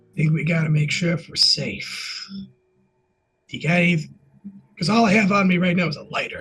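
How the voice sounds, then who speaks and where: Putting on a raspy character voice, a man speaks at a high pitch and moderate pace with fairly even intonation and long, frequent pauses. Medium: actual play. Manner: casual, conversational.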